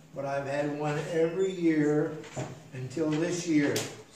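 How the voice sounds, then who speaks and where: A man speaks at a very slow pace. Light background noise and audible room echo surround his voice. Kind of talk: casual announcements to a congregation. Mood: warm, chatty. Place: church. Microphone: podium.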